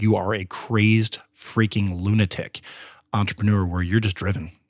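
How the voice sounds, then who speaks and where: In a General American accent, a man with a fairly low voice speaks at a moderate pace, the sound dry and close with no echo on a very clean recording with a silent background. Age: 40s. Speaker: podcast host and entrepreneur. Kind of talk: guided visualisation: eyes-closed, second-person driving scene. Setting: studio. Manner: energetic, coaxing, hyped-up tone.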